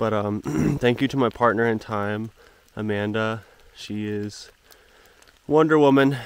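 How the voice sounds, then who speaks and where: The man's fairly low-pitched voice comes through a dry recording with no echo. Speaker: thru-hiker vlogger. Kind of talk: casual vlog chat. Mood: cheerful. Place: forest. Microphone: phone near.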